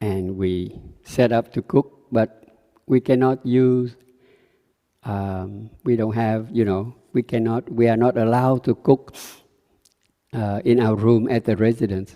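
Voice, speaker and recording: In a Vietnamese accent, a man with a dark, mellow tone at a medium pitch speaks at a fairly slow pace with fairly even intonation and long, frequent pauses, in a dry, close sound with no echo. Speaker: Buddhist meditation teacher. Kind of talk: dharma talk. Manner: halting.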